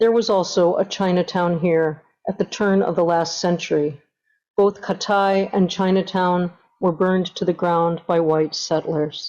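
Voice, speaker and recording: Against a quiet background, a woman with a normal speaking voice and a medium pitch talks at a fairly slow pace with fairly even intonation and very even loudness. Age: 60s. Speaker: artist presenting at an academic forum. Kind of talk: prepared presentation. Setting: online forum. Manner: formal.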